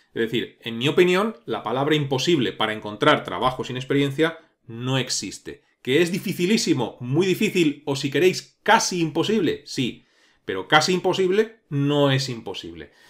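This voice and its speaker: The man's voice is fairly high and moves at a moderate pace. Its pitch rises and falls very widely. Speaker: programming course youtuber. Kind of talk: tutorial-style commentary monologue.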